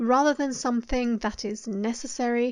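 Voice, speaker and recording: Over a quiet background, a woman with a British accent speaks at a high pitch and moderate pace. Her intonation is monotone and flat. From UK. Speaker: artist YouTuber. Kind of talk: voice-over narration.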